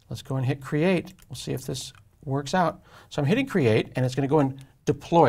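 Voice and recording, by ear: At a fairly quick pace, a man speaks at medium pitch with ordinary pitch variation, vocal fry, a slightly husky edge and a slightly mellow tone.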